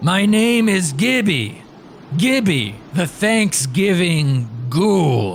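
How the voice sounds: Over clear background noise, a man uses a put-on character voice, high-pitched and at a very slow pace.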